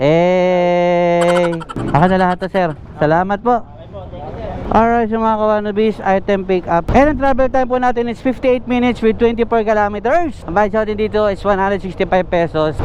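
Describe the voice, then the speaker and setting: Over noticeable background noise, a man with a high pitch speaks at a fairly quick pace with ordinary pitch variation. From Cavite, Philippines. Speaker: delivery rider vlogger. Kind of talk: casual vlog. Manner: sounds angry to some.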